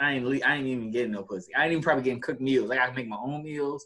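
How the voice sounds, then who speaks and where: Loud, with a bright, sharp tone, a man at medium pitch speaks with ordinary pitch variation. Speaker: podcast co-host. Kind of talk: casual chat. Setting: video call.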